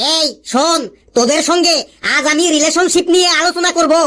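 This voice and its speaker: At a moderate pace, an extremely high-pitched cartoonish character voice carries on. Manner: scolding, sarcastic.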